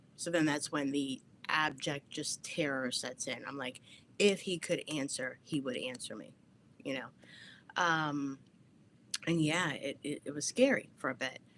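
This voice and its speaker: A woman with a New Jersey accent talks at a very deep, low pitch and fairly slow pace, with ordinary pitch variation, long, frequent pauses and a very clean recording with a silent background. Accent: New Jersey American. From New Jersey, US. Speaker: podcast host. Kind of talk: livestream talk. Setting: home basement. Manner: animated.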